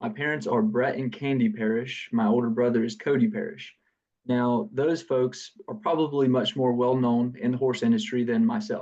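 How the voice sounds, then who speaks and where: A man's medium-pitched voice with a dark, mellow tone, in a Southern US accent. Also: lively intonation, moderate pace. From US South, south Georgia. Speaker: business founder. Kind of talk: podcast interview. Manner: halting, many fillers.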